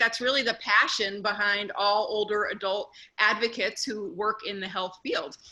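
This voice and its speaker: At a moderate pace, a woman speaks in a Northeastern US accent. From US Northeast. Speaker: neuropsychologist. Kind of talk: conference talk.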